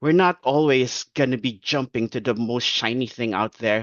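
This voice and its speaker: A man with a non-native accent talks in a medium pitch. His pace is moderate. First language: not English. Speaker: nonprofit staff member presenting AI project. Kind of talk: webinar presentation. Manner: halting, many fillers.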